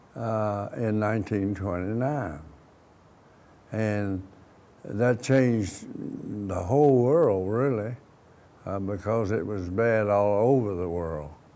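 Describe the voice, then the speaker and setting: Speaking very slowly with long, frequent pauses, a man with an Appalachian accent has a fairly low voice with a dark, mellow tone and ordinary pitch variation, and audible room echo surrounds him. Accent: southern Appalachian US. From US South, southwest Virginia (Wythe County, Pulaski). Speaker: war veteran. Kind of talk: oral history interview. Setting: studio. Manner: halting, many restarts and fillers.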